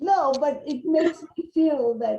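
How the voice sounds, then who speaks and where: A woman talks with vocal fry. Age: 70s. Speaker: religious presenter. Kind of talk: casual chat.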